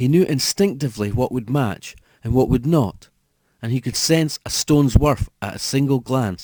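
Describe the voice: In plain reading aloud with ordinary pitch variation, the voice comes over a quiet background.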